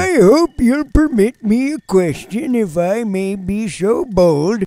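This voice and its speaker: Speaking at a very slow pace, a man swings his pitch very widely. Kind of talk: comic voiceover of game dialogue. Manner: rambling, nonsensical.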